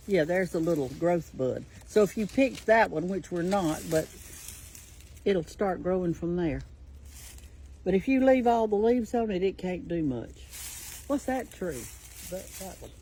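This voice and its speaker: Long, frequent pauses break up a woman's speech in a Southern US accent. Her voice sits fairly low, with lively intonation. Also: moderate pace. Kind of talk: casual talk to camera.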